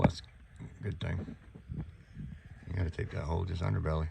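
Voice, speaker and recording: With a North Carolina accent, a man speaks at a very deep, low pitch with ordinary pitch variation over noticeable background noise. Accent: Southern US (North Carolina). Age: 60s. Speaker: home repair contractor. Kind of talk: on-the-job tutorial. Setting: crawlspace under a mobile home. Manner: casual, conversational.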